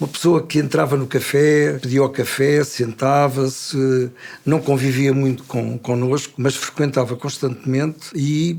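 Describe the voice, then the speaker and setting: A man's fairly high-pitched voice, monotone and flat, at a fairly slow pace. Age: 70s. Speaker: retired café owner. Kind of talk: storytelling. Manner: halting, with filler sounds.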